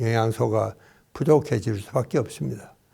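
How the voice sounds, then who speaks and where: On a very clean recording with a silent background, a man with a medium pitch and a dark, mellow tone speaks with ordinary pitch variation. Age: 90s. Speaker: psychiatrist and doctor. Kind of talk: interview talk. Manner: formal.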